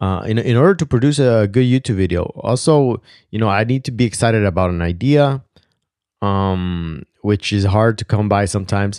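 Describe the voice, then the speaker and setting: Against a quiet background, a man with a non-native accent talks at a moderate pace. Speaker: video creator; wedding videographer. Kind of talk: casual monologue. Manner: hesitant, many fillers; casual, reflective.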